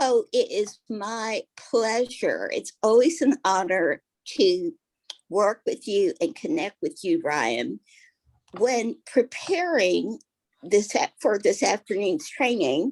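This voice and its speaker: A woman with a fairly high pitch and vocal fry speaks at a very slow pace with very wide pitch swings, in a dry, close sound with no echo. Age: 60s. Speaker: network marketing leader. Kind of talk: interview on a training call. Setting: call.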